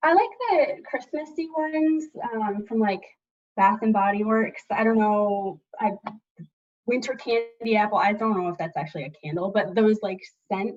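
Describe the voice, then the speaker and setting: A woman with a fairly high pitch and lively intonation speaks somewhat breathily at a moderate pace, with long, frequent pauses. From Michigan. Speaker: Air Force staff sergeant. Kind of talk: casual interview.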